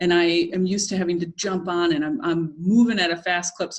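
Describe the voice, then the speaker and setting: This woman speaks at a fairly quick pace in an American accent. Her voice sits fairly low in pitch. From Brooklyn, New York. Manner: fast talker.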